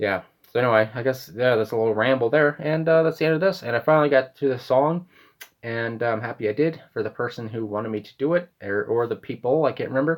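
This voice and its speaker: Speaking at a very fast pace, a man has a Canadian accent. His pitch is medium, with ordinary variation. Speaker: music reaction youtuber. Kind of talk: casual monologue.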